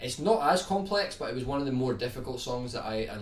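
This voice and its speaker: In a Scottish accent, a man talks at a medium pitch and moderate pace, with audible room echo around him. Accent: Scottish, toned down on streams. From Scotland, Edinburgh. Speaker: guitar YouTuber. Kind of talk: live stream chat answering viewer questions.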